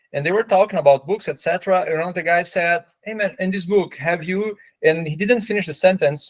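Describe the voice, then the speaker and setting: In a dry, close recording with no echo, a man with a Portuguese accent speaks at a high pitch and moderate pace with ordinary pitch variation. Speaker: Portuguese teacher, podcast co-host. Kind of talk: casual podcast chat.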